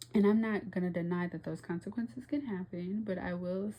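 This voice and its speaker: A woman's voice, somewhat breathy with a dark, mellow tone, sits at medium pitch and shows ordinary pitch variation. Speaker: tarot reader. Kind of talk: tarot reading monologue. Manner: animated.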